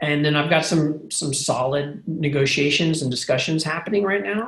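A man's unremarkable speaking voice, moderate in tempo, fairly high-pitched, with ordinary rises and falls in pitch. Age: 40s. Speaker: domain investor and lead generation business owner. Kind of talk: casual interview.

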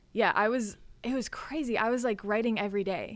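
Moderate-paced female speech with an American accent. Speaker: singer and voice-over artist. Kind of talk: casual interview chat. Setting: studio. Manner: animated, upbeat.

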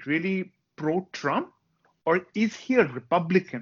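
The speaker is a man. His voice sits high. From Pakistan, Karachi. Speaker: podcast guest. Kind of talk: casual chat.

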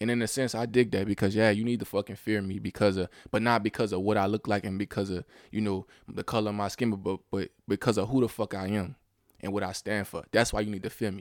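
In a very clean recording with a silent background, a man talks very fast in a fairly low pitch with monotone, flat intonation. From US South, New Orleans. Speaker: podcast host. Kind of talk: solo monologue podcast. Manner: casual, profane.

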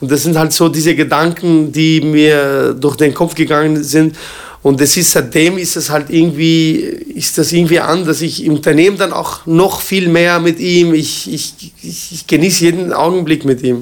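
With noticeable background noise behind him, a man speaks at a fairly slow pace in a fairly high pitch with fairly even intonation. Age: 40s. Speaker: kickboxing champion and gym owner. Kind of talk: interview. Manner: hesitant, many fillers.

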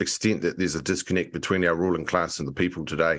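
The audio is very clean, and the background is silent. It carries a man's voice with a New Zealand accent. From New Zealand, Nelson. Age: 40s. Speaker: political commentator and publisher. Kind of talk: radio interview.

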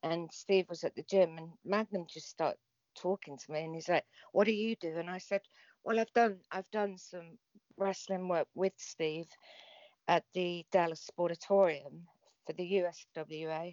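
In an English accent, a woman speaks fairly slowly with a fairly low pitch. Her intonation stays fairly even while her loudness swings widely. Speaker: former wrestling personality and author. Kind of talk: casual interview chat.

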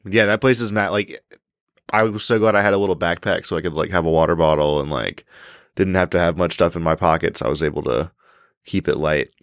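In a dry, close recording with no echo, a man with a very deep, low voice speaks at a very fast pace with ordinary pitch variation. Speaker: paranormal investigator on the trip. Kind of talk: casual conversation.

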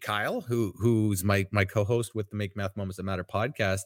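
With an ordinary speaking voice, a man talks fairly quickly in a fairly low pitch with fairly even intonation, on a very clean, dry, close recording with no echo and a silent background. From Canada. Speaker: math teacher and podcast host. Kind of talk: casual interview chat.

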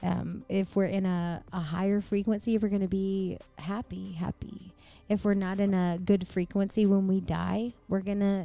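A woman with a Florida Panhandle accent, medium pitch, moderate pace and monotone, flat intonation, with music in the background. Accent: Southern US, Florida panhandle, noticeable. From Milton, Florida. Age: 30s. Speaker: singer. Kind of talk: casual chat.

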